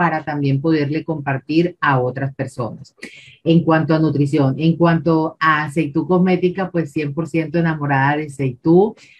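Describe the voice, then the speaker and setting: A woman's very deep, low, somewhat breathy voice in a Colombian accent, with fairly even intonation at a moderate pace. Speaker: independent distributor. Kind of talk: testimony. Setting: video call. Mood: warm, smiling. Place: home room. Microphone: video call.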